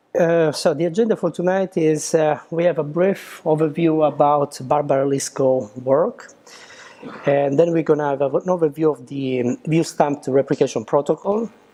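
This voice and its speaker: A man's fairly high-pitched voice with ordinary pitch variation at a moderate pace, amid noticeable background noise. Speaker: software engineer, meetup speaker. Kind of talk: technical talk. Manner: hesitant with many fillers.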